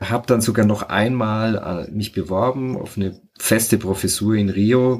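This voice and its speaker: At a fairly slow pace, a man with a fairly low pitch speaks in a normal speaking voice, his intonation fairly even. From Franconia, Bavaria (rural). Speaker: sociologist and author. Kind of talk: casual interview.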